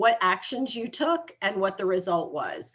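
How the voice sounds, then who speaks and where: Lively intonation at a moderate pace from a woman, an ordinary speaking voice. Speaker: university academic advisor. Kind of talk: presentation to students.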